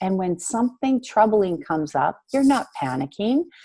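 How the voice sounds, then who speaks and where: A woman speaks with a dark, mellow tone at a fairly high pitch. Her pitch swings very widely against a quiet background. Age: 40s. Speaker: spiritual coach. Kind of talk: coaching conversation. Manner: fast.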